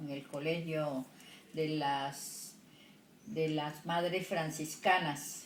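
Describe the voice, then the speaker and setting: A woman with a very deep, low pitch speaks with fairly even intonation amid audible room echo. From Colombian Pacific coast, El Charco, Nariño. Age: 70s. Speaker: retired secretary and homemaker. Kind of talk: interview. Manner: halting.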